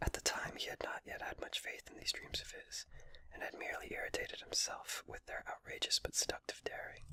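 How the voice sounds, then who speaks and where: A man whispers at a fairly quick pace. The sound is dry and close, with no echo. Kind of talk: whispered audiobook-style reading of a novel. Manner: whispered.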